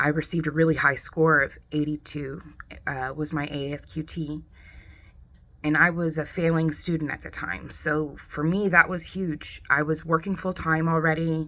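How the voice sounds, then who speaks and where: At a moderate pace, a woman with an American accent speaks in a very deep, low voice with a bright, sharp tone and monotone, flat intonation. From US West Coast, San Diego, California. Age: 30s. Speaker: veteran and college student. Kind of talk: personal testimony.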